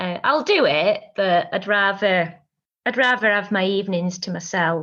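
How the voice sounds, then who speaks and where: Against a quiet background, the speaker goes at a fairly slow pace with ordinary pitch variation. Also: woman. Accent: strong Lancashire. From northern England, Lancashire. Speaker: singer-songwriter. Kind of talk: interview.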